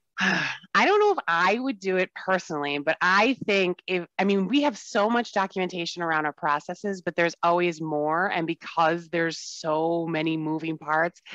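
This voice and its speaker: A woman with an American accent talks at a moderate pace in an upbeat tone. Her fairly low pitch has ordinary variation, and the sound is dry and close with no echo. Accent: Wisconsin accent, at times. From Wisconsin. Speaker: software sales relationship manager. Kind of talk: casual interview. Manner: upbeat, smiling.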